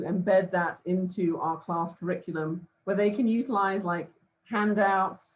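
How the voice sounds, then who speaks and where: With a British accent, a woman speaks somewhat breathily at medium pitch and a fairly slow pace. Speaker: professor. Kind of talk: conference presentation. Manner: hesitant, many fillers.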